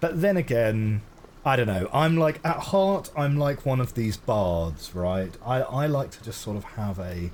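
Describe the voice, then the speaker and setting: In a West London accent, a man speaks at a fairly slow pace and medium pitch, with very wide pitch swings. Noticeable background noise is present. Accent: West London, home counties Southern English. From England, London (West London). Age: 30s. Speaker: gaming streamer. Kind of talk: live stream commentary. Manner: casual, hesitant with fillers.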